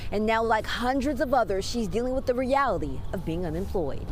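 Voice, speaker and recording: A woman with an American accent talks fairly quickly in a fairly high, energetic voice. Her intonation is lively, and there is noticeable background noise. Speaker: television news reporter. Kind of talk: live TV news report. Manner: clear, energetic news delivery.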